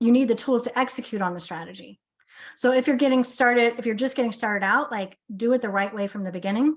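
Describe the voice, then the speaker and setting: Against a quiet background, a woman speaks at a very fast pace. Her pitch is fairly high, with ordinary variation. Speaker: business coach. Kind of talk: sales pitch.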